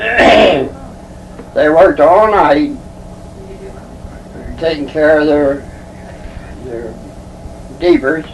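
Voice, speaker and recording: A man with an American accent talks at a fairly high pitch against noticeable background noise. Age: 80s+. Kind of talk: interview answer. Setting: home recording.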